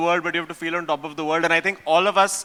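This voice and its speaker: A man uses a raised, projected voice. His tone is bright and sharp. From India. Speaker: event panelist. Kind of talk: panel discussion.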